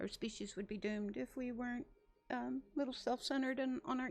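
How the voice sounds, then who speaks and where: Over music in the background, a woman speaks at a moderate pace with fairly even intonation. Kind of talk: casual chat. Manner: halting, searching for words.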